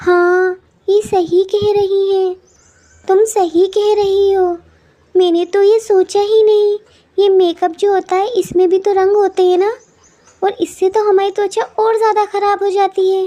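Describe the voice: A woman performs a cartoonish character voice at an extremely high pitch. She keeps a flat monotone at a moderate pace.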